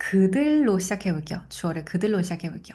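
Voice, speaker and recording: A woman's somewhat breathy voice at medium pitch, dark and mellow in tone, with lively intonation. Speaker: French language teacher. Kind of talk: tutorial.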